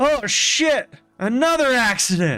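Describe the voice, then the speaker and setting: A man's put-on character voice, extremely high-pitched with very wide pitch swings, at a fairly slow pace. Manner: startled exclaiming.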